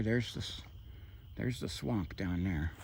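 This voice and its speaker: A soft-spoken man with an American accent, at a moderate pace. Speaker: hiking vlogger. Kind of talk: casual vlog narration while hiking. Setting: outdoors at night in the woods.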